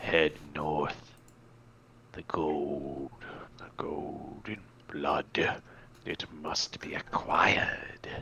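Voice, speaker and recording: A man's whispered, put-on character voice, very slow and with long, frequent pauses. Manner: whispering, eerie.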